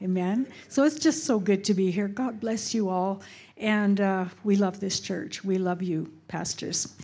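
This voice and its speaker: A woman with a western Canadian accent talks at a fairly slow pace in a medium pitch and a dark, mellow tone, with ordinary pitch variation. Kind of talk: church greeting. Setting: church with congregation.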